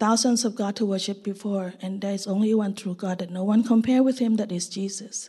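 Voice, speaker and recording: Speaking in a Thai accent, a woman has a somewhat breathy, dark, mellow tone. Her pace is moderate, her intonation fairly even, and the background quiet. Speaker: missionary. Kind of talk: testimony. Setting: church service.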